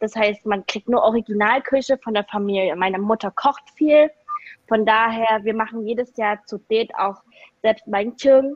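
A woman with a plain, everyday voice and fairly high pitch talks at a moderate pace with ordinary pitch variation, the sound dry and close with no echo. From eastern Germany (Saxony), Vietnamese-German family. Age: 20s. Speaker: business graduate. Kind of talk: casual interview chat.

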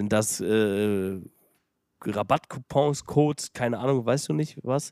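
Dry and close with no echo, a man's dark, mellow tone carries ordinary pitch variation. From Germany, Detmold (Lippe). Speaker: podcast host, restaurateur. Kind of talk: casual chat.

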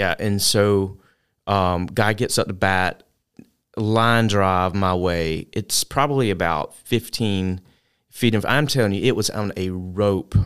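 At a very slow pace, a man with a fairly low pitch speaks with ordinary pitch variation on a very clean recording with a silent background. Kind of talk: casual interview chat.

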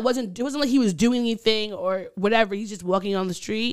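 Lively intonation marks this woman's speech. She has an unremarkable speaking voice and keeps a moderate pace. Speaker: podcast co-host. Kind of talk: casual chat.

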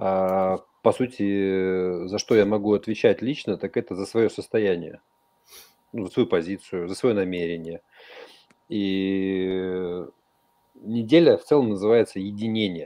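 With long, frequent pauses, a man speaks very slowly at a fairly low pitch. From Kyrgyzstan. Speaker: panel regular. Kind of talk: online radio talk.

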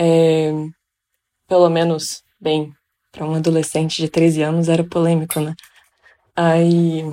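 A woman's fairly low voice in monotone, flat intonation at a fairly slow pace, with long, frequent pauses. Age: 20s. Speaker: psychology student. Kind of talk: casual chat.

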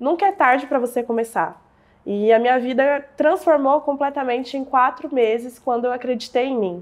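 Speaking at a moderate speed, a woman has a high-pitched voice. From Brazil, southern Minas Gerais. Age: 20s. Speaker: digital entrepreneur. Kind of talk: interview storytelling.

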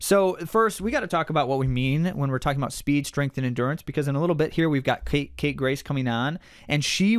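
A man with a normal speaking voice talks at a fairly quick pace with a fairly high pitch and ordinary pitch variation. The recording is very clean, with a silent background. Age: 40s. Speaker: running podcast co-host and coach. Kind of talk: casual chat.

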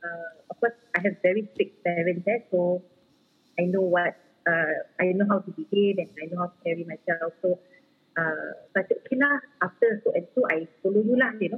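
A woman talks at a moderate pace in a Singaporean accent. Her pitch sits in the medium range. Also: ordinary pitch variation. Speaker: footballer's wife. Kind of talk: casual interview chat. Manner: code-switching English and Malay.

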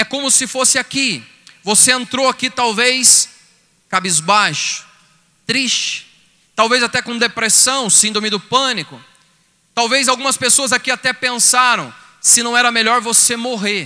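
A man speaks in an animated tone with a raised, projected voice at an extremely high pitch, moving at a fairly slow pace with long, frequent pauses. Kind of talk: sermon, preacher in full flow, exhorting and pleading with the crowd. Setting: stage with audience at a retreat event. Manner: fervent, animated, rising and emphatic, direct address to the audience.

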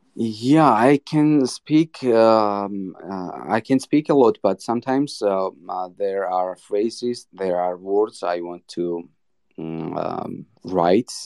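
Talking at a very slow pace, a man uses lively intonation at a fairly low pitch. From Georgia (country). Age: 20s. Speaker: artist and small business owner. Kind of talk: interview. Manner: halting.

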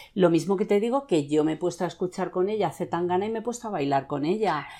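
Her dark, mellow tone sits at a fairly low pitch as the woman speaks at a moderate pace with lively intonation. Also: quiet background. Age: 40s. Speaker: podcast host. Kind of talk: casual interview.

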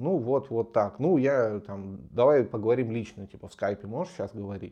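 The voice has a dark, mellow tone and lively intonation. It moves at a moderate pace over a quiet background. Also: man. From Novosibirsk, Russia. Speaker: podcast co-host. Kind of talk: casual chat.

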